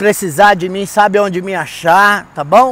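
Speaking at a moderate pace, a man comes through with a dry sound and no echo. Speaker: tourist vlogger. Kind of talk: casual vlog chat. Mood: upbeat, cheerful. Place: street. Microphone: earbuds.

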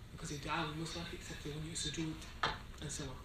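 Fast speech from a man, with audible room echo and clear background noise

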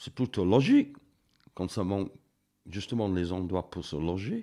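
A man's dark, mellow tone at a fairly slow pace with ordinary pitch variation. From northern England. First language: English (speaking French). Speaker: mountaineer and painter. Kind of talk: interview. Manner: halting, with many hesitations.

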